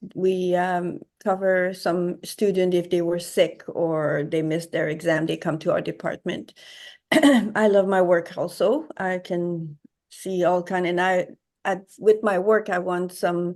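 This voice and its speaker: A woman with a Quebec accent talks at a fairly slow pace against a quiet background. Her medium pitch holds fairly even intonation. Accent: French-Canadian (Quebec). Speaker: watercolor artist. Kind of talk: interview. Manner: halting.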